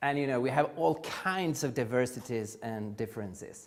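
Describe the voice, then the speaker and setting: Recorded very cleanly against a silent background, a man with a Swedish accent speaks at a fairly slow pace, his pitch swinging very widely. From Sweden. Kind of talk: conference lecture. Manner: halting, frequent uh fillers.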